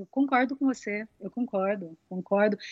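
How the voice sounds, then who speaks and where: A woman speaks at a moderate pace with a fairly high pitch and ordinary pitch variation. Her tone is dark and mellow, and the sound is dry and close with no echo. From interior of São Paulo state, Brazil. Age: 40s. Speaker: singer and voice actress. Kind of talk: casual interview chat.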